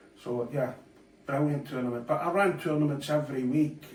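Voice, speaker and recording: Against noticeable background noise and audible room echo, a man with a Scottish accent talks at a moderate pace with ordinary pitch variation. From Scotland. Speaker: darts player and presenter. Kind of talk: casual monologue. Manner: hesitant, many fillers.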